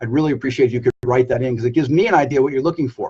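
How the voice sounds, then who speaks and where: The sound is dry and close, with no echo. A man speaks somewhat breathily, with ordinary pitch variation. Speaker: business coach. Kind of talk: live stream Q&A. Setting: Facebook live video. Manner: high energy.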